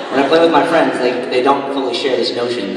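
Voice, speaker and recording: A man's voice with fairly even intonation, audible room echo and noticeable background noise. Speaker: student comedian. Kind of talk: stand-up comedy routine. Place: hall. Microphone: handheld.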